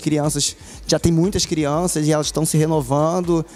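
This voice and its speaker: A man talks at a moderate pace in a fairly high pitch. He has a plain, everyday voice. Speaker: voice actor. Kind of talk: interview answer.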